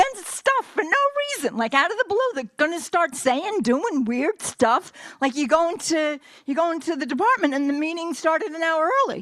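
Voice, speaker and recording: At a moderate pace, the speaker sounds animated, the pitch swinging very widely. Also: woman, extremely high pitch for a woman. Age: 60s. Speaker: professor and chemical engineer. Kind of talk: conference talk.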